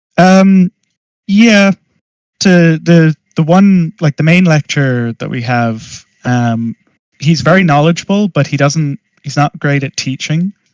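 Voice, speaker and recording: With an American accent, a man speaks fairly slowly at a fairly high pitch, with ordinary pitch variation and long, frequent pauses. The sound is dry and close, with no echo. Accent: Irish, often mistaken for American. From Ireland. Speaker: master's student in 3D art. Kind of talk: casual chat.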